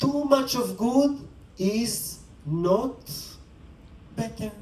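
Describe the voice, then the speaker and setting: The speaker has a non-native accent and lively intonation at a very slow pace. Audible room echo and noticeable background noise are present. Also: man. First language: not English. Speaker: spiritual teacher. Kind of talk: dharma talk. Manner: conversational.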